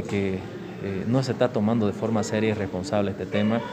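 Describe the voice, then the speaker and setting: Over noticeable background noise, a man with a fairly low voice talks at a moderate pace with fairly even intonation. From Bolivia, Santa Cruz (San Ignacio de Velasco). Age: 40s. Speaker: politician. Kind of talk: interview.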